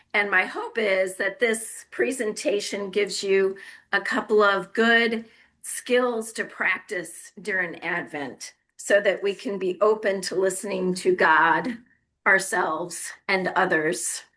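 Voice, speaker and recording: A woman puts on a raspy character voice at medium pitch. She speaks at a fairly slow pace. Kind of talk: presenting, speaking to an audience.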